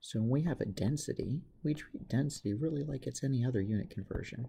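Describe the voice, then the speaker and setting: Soft-spoken, the voice moves at a moderate pace. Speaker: chemistry teacher. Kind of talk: tutorial. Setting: semi-public place. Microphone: may be too quiet to pick up.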